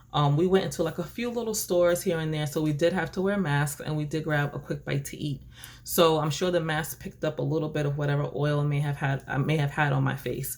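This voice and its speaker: Talking very fast with hardly any pauses, a woman with a very deep, low pitch has an animated tone and ordinary pitch variation. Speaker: beauty vlogger. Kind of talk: casual vlog talk to camera. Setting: at home desk by window. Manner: loud.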